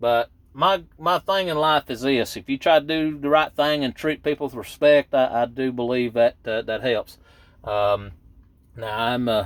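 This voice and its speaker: A man's fairly high voice in a Southern accent, at a fairly slow pace with ordinary pitch variation, in a dry, close sound with no echo. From East Tennessee. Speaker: truck driver and video blogger. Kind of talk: casual vlog monologue. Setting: in his truck at work waiting to load. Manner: rambling, hesitant with many fillers.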